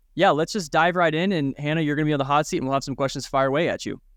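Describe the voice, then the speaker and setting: Against a quiet background, the speaker has an American accent and ordinary pitch variation. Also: man. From United States. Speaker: podcast host. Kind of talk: casual interview.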